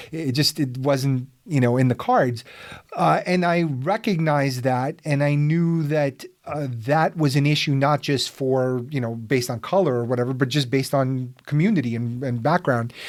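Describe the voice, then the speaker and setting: Here is a man with a plain, everyday voice, pitched fairly high. He talks at a moderate pace with ordinary pitch variation. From Soviet Union, raised in US. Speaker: podcast host. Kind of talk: podcast interview.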